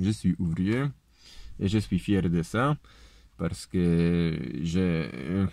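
A man with a Polish accent speaks at a very slow pace with long, frequent pauses, his very deep, low pitch and dark, mellow tone moving in lively intonation. His loudness stays very even, and the sound is dry with no echo over a quiet background. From Poland. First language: Polish (speaking French). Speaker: political video blogger, construction worker. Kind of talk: political lecture; casual vlog chat. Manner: halting. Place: car. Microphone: phone near.

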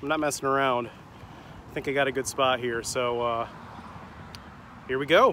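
Here a man speaks at a medium pitch and fairly slow pace, his tone bright and sharp and his intonation fairly even.

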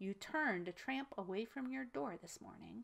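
A woman does a put-on character voice at a medium pitch and a moderate pace. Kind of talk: reading a story aloud. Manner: sneering.

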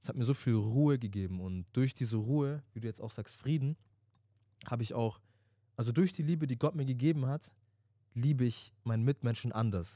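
With a dark, mellow tone and ordinary pitch variation, a man talks at a fairly quick pace in a dry sound with no echo over a quiet background. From Stuttgart, Germany; Germany. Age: 20s. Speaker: podcast co-host. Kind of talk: casual chat. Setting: studio. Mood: reflective, earnest. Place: studio. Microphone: handheld.

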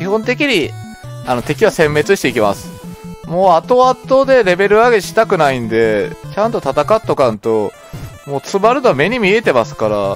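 Over background music, a man with a Kagoshima accent speaks at a moderate pace, his high pitch swinging very widely. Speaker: video game let's play commentator. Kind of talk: casual gameplay commentary.

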